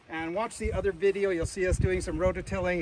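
With noticeable background noise behind him, a man talks in an enthusiastic tone at a high pitch. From Canada. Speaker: auctioneer. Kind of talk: auction promo to camera. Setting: outdoors. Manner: enthusiastic sales pitch. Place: farm machine. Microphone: phone near.

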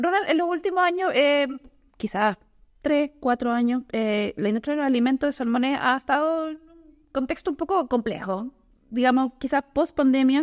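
A woman with a high pitch talks at a fairly quick pace with lively intonation against a quiet background. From southern Chile. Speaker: podcast host, journalist. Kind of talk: interview. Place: studio. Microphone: studio mic.

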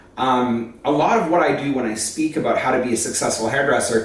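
Fairly quick speech with audible room echo. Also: man. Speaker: educator. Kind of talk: casual vlog chat. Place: home room. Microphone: phone near.

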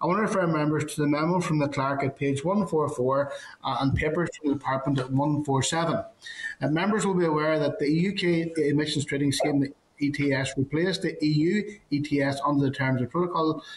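The delivery holds a moderate pace with fairly even intonation and very even loudness. Light background noise is present. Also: man, fairly high pitch for a man. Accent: Northern Irish. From Northern Ireland. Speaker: committee chair. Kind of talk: formal meeting chairing. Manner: hesitant, many fillers. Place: office. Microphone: video call.

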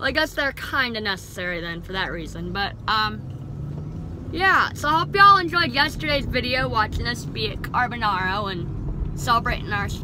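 A woman talks at a moderate pace in a dry sound with no echo, with noticeable background noise behind her. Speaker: vlogger. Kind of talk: casual vlog chat. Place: car. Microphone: phone near.

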